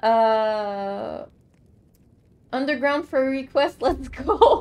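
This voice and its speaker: This is a woman's voice. She speaks in a French Canadian accent. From Quebec. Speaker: streamer. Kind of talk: live gameplay commentary. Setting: live stream.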